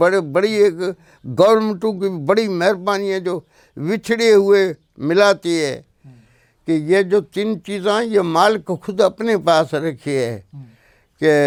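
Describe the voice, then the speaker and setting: On a very clean recording with a silent background, a man speaks in a high voice with ordinary pitch variation. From Tharparkar, Sindh, Pakistan. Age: 60s. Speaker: poet. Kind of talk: interview answer.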